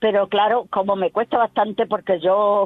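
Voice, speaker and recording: Medium-pitched woman in an Extremaduran accent, at a moderate pace. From Extremadura, Spain (Higuera de Vargas, Badajoz). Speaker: collector of regional dialect words. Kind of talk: interview. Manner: repetitive.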